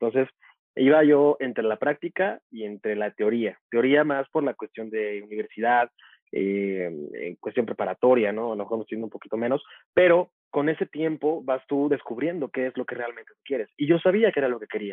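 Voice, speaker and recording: A man talks in a normal speaking voice at medium pitch and a moderate pace, with lively intonation. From Mexico, Veracruz port and Tuxtepec, Oaxaca. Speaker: media professional and speaker. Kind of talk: interview conversation.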